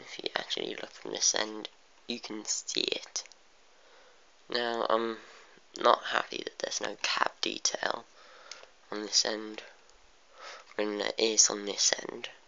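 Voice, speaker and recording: Over noticeable background noise, someone with a British accent speaks at a fairly slow pace, with long, frequent pauses. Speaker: model train reviewer. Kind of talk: video review, casual. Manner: halting, many fillers.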